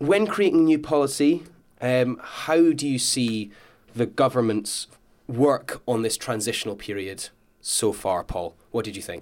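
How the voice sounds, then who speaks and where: An unremarkable speaking voice talks at a fairly slow pace with lively intonation. The recording is very clean, with a silent background. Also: man, medium pitch for a man. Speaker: youth radio presenter. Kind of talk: panel discussion hosting. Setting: radio studio.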